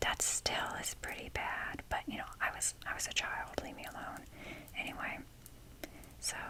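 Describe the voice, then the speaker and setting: Someone whispers with long, frequent pauses while noticeable background noise is heard. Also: moderate pace. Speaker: ASMR creator. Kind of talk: ASMR whisper talk. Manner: whispering; rambling.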